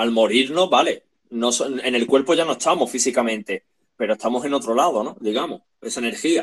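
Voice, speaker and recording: In an ordinary speaking voice, a man talks at medium pitch and a moderate pace with ordinary pitch variation. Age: 30s. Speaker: podcast co-host. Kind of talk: casual chat.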